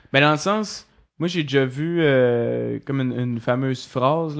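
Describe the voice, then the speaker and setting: Against a quiet background, a man speaks at a fairly slow pace in a plain, everyday voice, at a medium pitch with ordinary pitch variation. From Quebec, Côte-Nord. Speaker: cartoonist. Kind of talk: casual chat.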